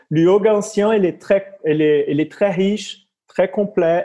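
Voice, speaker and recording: Speaking in a Brazilian accent at a fairly slow pace, a man has a dark, mellow tone and ordinary pitch variation. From Brazil, near Rio de Janeiro. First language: Portuguese (speaking French). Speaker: yoga teacher. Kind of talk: interview. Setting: video call. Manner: halting.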